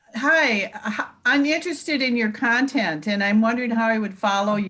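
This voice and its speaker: Her pitch fairly high and her pace fairly quick, a woman talks in an ordinary speaking voice with lively intonation. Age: 60s. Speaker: life coach and product seller. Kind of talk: casual chat.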